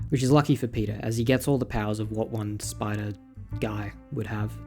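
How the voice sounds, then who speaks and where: Music is audible in the background. The speaker goes at a fairly quick pace with fairly even intonation. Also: man. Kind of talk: comic recap commentary. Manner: casual, irreverent.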